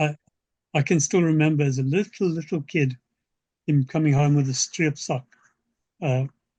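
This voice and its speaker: At a moderate pace with long, frequent pauses, a man speaks in a somewhat breathy, dark, mellow tone at fairly high pitch and very even loudness. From South Africa. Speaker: science fiction author. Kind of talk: interview answer.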